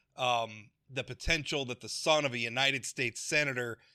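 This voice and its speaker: A man's bright, sharp voice with a Midwestern accent and ordinary pitch variation, dry and close with no echo, in a very clean recording with a silent background. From US Midwest, North Dakota. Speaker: political talk show host. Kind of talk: podcast interview. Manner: halting, many fillers and restarts.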